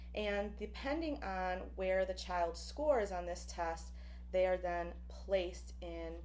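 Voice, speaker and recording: A woman at a very slow pace amid audible room echo. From Buffalo, New York, with time in Puerto Rico. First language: Spanish. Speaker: professor. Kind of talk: lecture. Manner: frequent fillers (um, uh).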